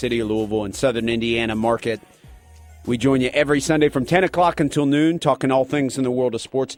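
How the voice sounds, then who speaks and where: A man speaks in a dry, close sound with no echo while music plays in the background. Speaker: sports radio host. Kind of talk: sports radio talk show.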